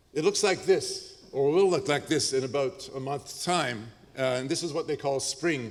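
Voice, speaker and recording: An unremarkable speaking voice from a man, fairly high in pitch, with ordinary pitch variation at a moderate pace. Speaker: professor. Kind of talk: lecture.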